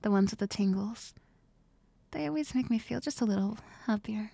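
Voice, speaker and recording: A soft-spoken voice at a fairly quick pace, dry with no echo. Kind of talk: soft-spoken ASMR roleplay. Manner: soft, gentle ASMR roleplay voice.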